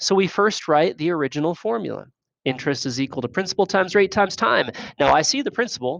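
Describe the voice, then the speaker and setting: A man with a high pitch and very wide pitch swings is heard in a dry, close sound with no echo over a quiet background. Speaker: math teacher. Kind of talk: lecture. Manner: fast.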